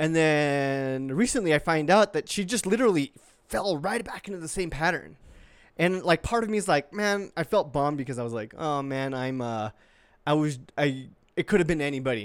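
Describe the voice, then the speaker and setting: With a plain, everyday voice, a man talks at a moderate pace and a fairly high pitch, his intonation lively, on a very clean recording with a silent background. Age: 20s. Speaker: podcast co-host and producer. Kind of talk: casual chat.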